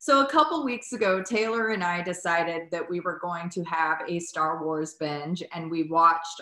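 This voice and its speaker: A woman with an American accent talks at a moderate pace in a fairly low voice with ordinary pitch variation. Audible room echo surrounds her. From United States. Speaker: podcast host, dietitian. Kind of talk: casual chat. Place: home room.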